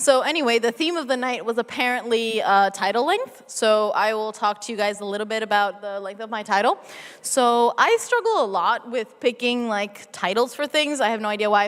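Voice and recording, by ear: A woman with an American accent, fairly high in pitch and fairly bright in tone, lively intonation, few pauses and a moderate pace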